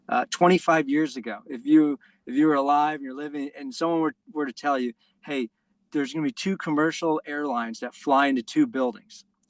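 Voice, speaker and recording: In a dry, close recording with no echo and a quiet background, someone with a New York accent talks fairly quickly, with ordinary pitch variation and big swings in loudness. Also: man, fairly high pitch for a man. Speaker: basketball coach trainer. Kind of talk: online presentation.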